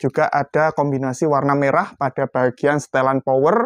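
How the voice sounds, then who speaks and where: A man speaks at a fairly slow pace with a fairly high pitch. There is music in the background, and the sound is dry with no echo. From Indonesia. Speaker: airgun shop presenter. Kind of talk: sales pitch. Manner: brisk, upbeat street-seller patter; repetitive, calling out to buyers. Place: shop.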